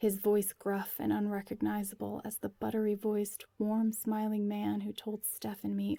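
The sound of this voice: This is an unforced reading voice. It carries through the whole clip.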